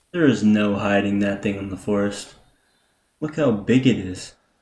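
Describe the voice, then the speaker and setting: A quiet man with a dark, mellow tone. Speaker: gaming youtuber. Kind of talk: gameplay commentary. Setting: home recording at night.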